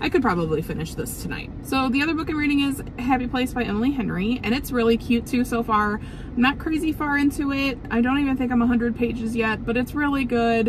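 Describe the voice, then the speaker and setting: Amid noticeable background noise, a woman with a high pitch talks fairly fast with hardly any pauses and ordinary pitch variation. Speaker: book vlogger. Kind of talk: casual vlog chat. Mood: cheerful, enthusiastic. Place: car. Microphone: phone near.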